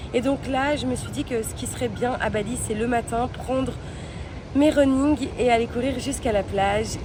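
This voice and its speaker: A woman with a high pitch and ordinary pitch variation speaks at a moderate pace over noticeable background noise. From Belgium. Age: 20s. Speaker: travel vlogger. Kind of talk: vlog. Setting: outdoors.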